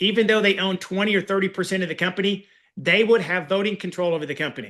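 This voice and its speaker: Against a quiet background, a man projects a raised, high-pitched voice with a bright, sharp tone and an animated delivery. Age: 50s. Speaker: business acquisition coach. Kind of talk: online master class.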